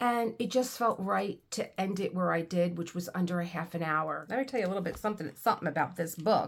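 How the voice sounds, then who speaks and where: A woman with a plain, everyday voice speaks at a fairly low pitch and a fairly quick pace, with ordinary pitch variation and hardly any pauses. The recording is very clean, with a silent background. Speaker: book reader. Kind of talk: casual talk to camera.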